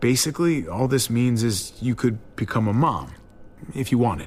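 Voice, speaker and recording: A man speaks at a moderate pace in a raspy, put-on character voice of medium pitch, with clear background noise. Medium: video game. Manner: hesitant, stammering when embarrassed.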